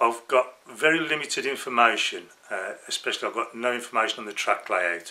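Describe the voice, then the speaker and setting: Speaking fairly slowly in a Birmingham accent, a man uses a medium pitch with ordinary pitch variation. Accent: Brummie. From Birmingham, England. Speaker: model railway hobbyist. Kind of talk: casual vlog monologue. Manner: hesitant, with fillers.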